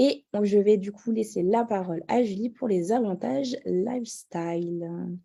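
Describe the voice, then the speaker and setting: A woman's medium-pitched voice, dark and mellow in tone, very slow, with ordinary pitch variation. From Paris region, France. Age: 30s. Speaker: network marketing distributor. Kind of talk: sales pitch.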